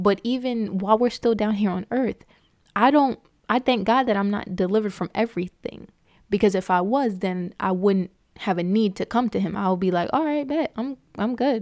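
Recorded very cleanly with a silent background and a dry, close sound with no echo, a woman speaks in an animated, excited tone at medium pitch, moderate pace and ordinary pitch variation. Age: 20s. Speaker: faith podcast host. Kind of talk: solo devotional podcast talk, testimony blending into informal preaching. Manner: animated and excited, lots of ums and repeated words; earnest, exhorting preacher-like cadence.

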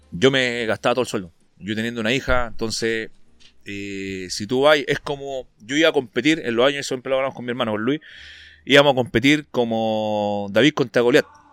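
Speaking at a fairly quick pace with a Chilean accent, a man uses a medium pitch and ordinary pitch variation in a very clean recording with a silent background. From northern Chile, Antofagasta. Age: 30s. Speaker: bodybuilder and fitness coach. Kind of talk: casual interview chat.

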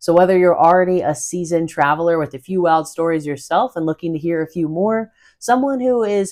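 A woman with an American accent speaks at a moderate pace in a fairly low voice with ordinary pitch variation, on a very clean recording with a silent background. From US South, North Carolina. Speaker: podcast host, travel storyteller. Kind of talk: podcast intro monologue.

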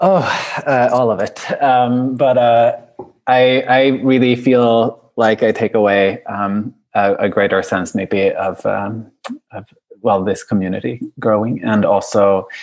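Speaking at a very slow pace, a man uses a Swedish accent. His pitch is medium, with ordinary variation. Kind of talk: casual chat. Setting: video call. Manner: hesitant, halting with fillers.

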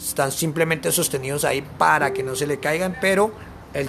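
A man with lively intonation talks at a fairly quick pace, noticeable background noise behind him. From Colombia, Bogotá. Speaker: traveling backpacker. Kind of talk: interview.

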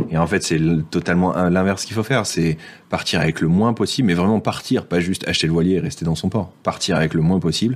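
Speaking at a very fast pace, a man uses a very deep, low pitch with ordinary pitch variation. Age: 30s. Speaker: former IT project manager living on a sailboat. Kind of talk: casual interview.

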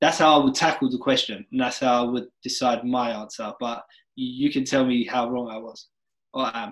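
A very clean recording with a silent background carries an unremarkable speaking voice whose intonation stays fairly even. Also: man, medium pitch for a man, moderate pace. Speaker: podcast host. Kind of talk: casual podcast chat.

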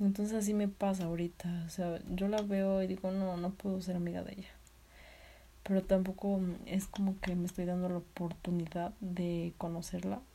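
Her voice medium in pitch, a woman speaks at a moderate pace with a dark, mellow, somewhat breathy tone and monotone, flat intonation. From Mexico, Tlaxcala. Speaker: nursing student vlogger. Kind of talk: personal vlog monologue.

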